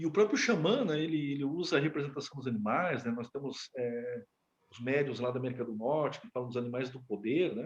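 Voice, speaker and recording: The voice of a man comes through somewhat breathy. He speaks at a fairly quick pace. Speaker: educator teaching a class. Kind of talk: lecture. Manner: fast; halting, with many fillers.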